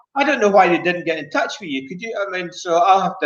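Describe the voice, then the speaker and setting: Talking at a very fast pace, a man with a Scottish accent has a high-pitched voice. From Scotland. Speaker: bowls player, former world champion. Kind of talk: casual chat.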